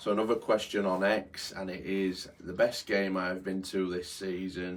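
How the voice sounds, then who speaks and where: The speaker has a Yorkshire accent. The intonation is monotone and flat. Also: man, very deep, low pitch for a man, moderate pace. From born in London, raised in Yorkshire. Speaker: football groundhopping vlogger. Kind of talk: casual Q&A monologue. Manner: hesitant, many fillers.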